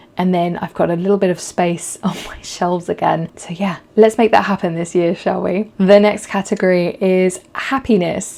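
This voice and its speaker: A woman speaks at a moderate pace in a medium pitch, her intonation fairly even and her pauses few. Noticeable background noise runs under her voice. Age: 30s. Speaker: photographer and podcast host. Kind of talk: casual talk to camera.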